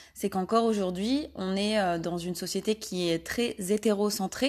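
A woman with an ordinary speaking voice talks at a medium pitch with ordinary pitch variation against a quiet background. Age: 20s. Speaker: podcast host and Instagram creator. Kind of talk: personal monologue.

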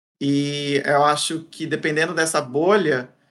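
A man's fairly high voice at a fairly slow pace, an ordinary speaking voice. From interior of São Paulo state, Brazil. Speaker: content creator, former academic. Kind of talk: interview conversation. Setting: studio videocast.

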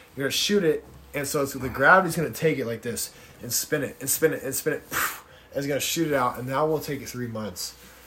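A man's fairly high-pitched voice at a very fast pace, with ordinary pitch variation and big swings in loudness. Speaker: podcast guest. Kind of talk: casual chat.

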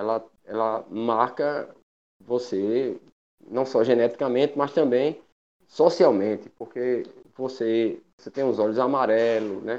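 A man's medium-pitched voice, fairly even in intonation, at a very slow pace. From Paraíba, Brazil (Guarabira). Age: 50s. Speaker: patient association coordinator, educator. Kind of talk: casual panel discussion.

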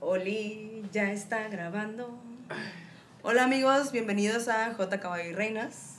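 The speech comes very slowly in a Mexican accent, with fairly even intonation. Background noise is noticeable. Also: woman, fairly high pitch for a woman. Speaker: podcast co-host. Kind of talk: casual chat.

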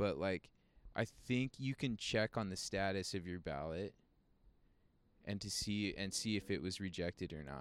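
In a dry, close sound with no echo, a man with a very deep, low pitch speaks at a moderate pace with ordinary pitch variation and long, frequent pauses. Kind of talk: casual chat. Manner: casual, profane.

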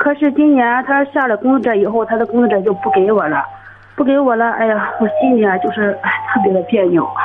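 Noticeable background noise sits behind a woman with a fairly high pitch. She talks at a fairly quick pace with lively intonation and very even loudness. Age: 30s. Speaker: caller. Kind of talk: phone-in advice call. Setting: phone call.

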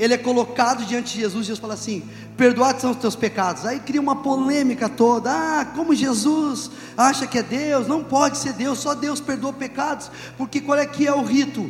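With audible room echo and noticeable background noise, a man speaks at a moderate pace with an extremely high pitch and fairly even intonation. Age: 40s. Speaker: pastor. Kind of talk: sermon.

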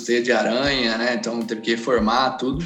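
A man talks at a moderate pace with fairly even intonation. There is audible room echo and noticeable background noise. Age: 30s. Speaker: business founder. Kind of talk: casual interview.

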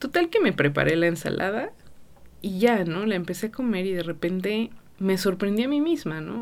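A woman with a Mexican accent and lively intonation. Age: 30s. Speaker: podcast host. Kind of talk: casual monologue. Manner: many filler words.

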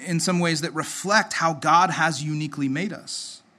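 A man with a bright, sharp tone and a high pitch speaks at a moderate pace amid audible room echo. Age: 30s. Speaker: pastor. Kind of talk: sermon. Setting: church. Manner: halting.

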